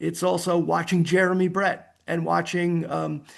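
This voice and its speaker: A man's high voice with an American accent against a quiet background. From United States. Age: 70s. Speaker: author and historian. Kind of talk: interview. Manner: halting, repeats words.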